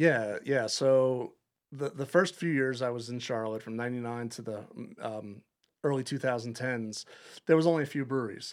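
A man with an American accent, medium pitch, ordinary pitch variation and a moderate pace, an ordinary speaking voice. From Long Island, New York. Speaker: head brewer. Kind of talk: casual interview.

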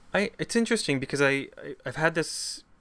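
A man with a western Canadian accent speaks at a moderate pace and with lively intonation on a very clean recording with a silent background. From Campbell River, British Columbia, Canada. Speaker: theatre alliance leader. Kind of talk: interview. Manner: halting, many fillers.

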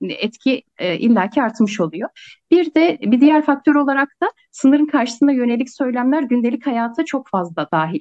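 A woman talks at a moderate pace with a high pitch. Her pitch swings very widely. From Kars, eastern Turkey. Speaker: sociology researcher. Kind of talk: interview conversation.

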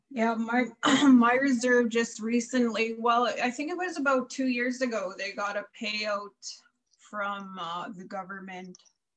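In a plain, everyday voice, a woman speaks at a fairly slow pace and a fairly high pitch, with big swings in loudness. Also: ordinary pitch variation. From Saskatchewan, Canada (First Nations). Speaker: podcast co-host. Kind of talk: casual interview.

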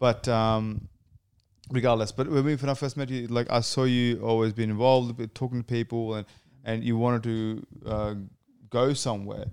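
Heard on a very clean recording with a silent background, a man with an Australian accent speaks at a moderate pace with monotone, flat intonation. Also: medium pitch for a man. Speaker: podcast co-host. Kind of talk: casual interview chat.

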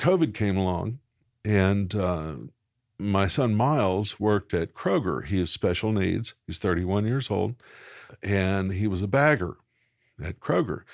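In a Southern US accent, a man with fairly low pitch and ordinary pitch variation speaks at a fairly slow pace with long, frequent pauses. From Arkansas, Little Rock. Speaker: pastor. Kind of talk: interview. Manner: halting.

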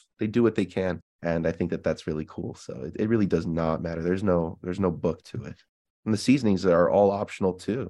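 Very fast and with an American accent, a man talks in a very deep, low pitch with a dark, mellow tone and ordinary pitch variation. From Illinois, US. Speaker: podcast guest. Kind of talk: casual chat. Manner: halting, many fillers.

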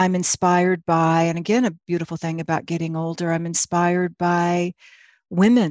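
A woman with a plain, everyday voice, fairly low in pitch, at a moderate pace, in a dry, close sound with no echo against a quiet background. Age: 50s. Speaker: actress and playwright. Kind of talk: casual chat.

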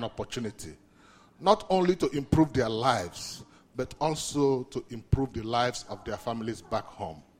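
Lively intonation colors this man's fairly quick delivery. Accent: Nigerian. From Nigeria. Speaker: community outreach manager. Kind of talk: speech.

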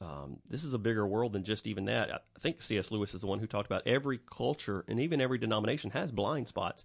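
A man talks at a very fast pace with hardly any pauses. His fairly low voice carries vocal fry and lively intonation. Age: 40s. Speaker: church teacher and podcast co-host. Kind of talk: casual chat.

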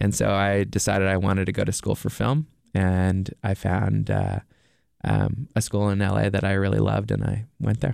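Against a quiet background, a man speaks at a moderate pace with very even loudness. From Nova Scotia, Canada. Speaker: documentary filmmaker. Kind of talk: interview.

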